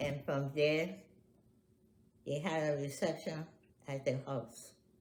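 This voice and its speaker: Very slow, somewhat breathy speech from a woman at a very deep, low pitch, with fairly even intonation and audible room echo. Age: 80s+. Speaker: family elder interviewee. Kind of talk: oral history interview.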